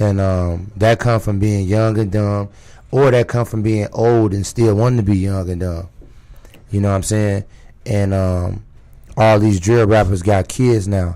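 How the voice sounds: The voice is raspy, with a dark, mellow tone, and moves at a fairly slow pace. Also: man, fairly low pitch for a man, fairly even intonation.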